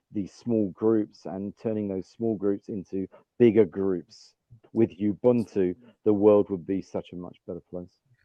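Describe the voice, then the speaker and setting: Fairly low male voice with an English accent and fairly even intonation. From England. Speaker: business leader. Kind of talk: podcast interview.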